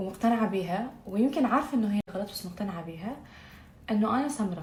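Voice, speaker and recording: Over noticeable background noise and audible room echo, a woman talks at a moderate pace with lively intonation and a fairly high pitch. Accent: slight Baghdad. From Iraq, Baghdad. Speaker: beauty vlogger. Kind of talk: makeup tutorial vlog. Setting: at home. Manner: casual, chatty, code-switching with English; stumbles over words.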